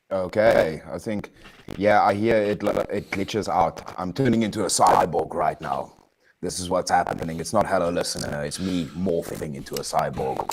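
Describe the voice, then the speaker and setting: A man's very deep, low voice at a moderate pace with ordinary pitch variation. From South Africa. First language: non-English South African language. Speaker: livestream caller. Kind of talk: casual chat.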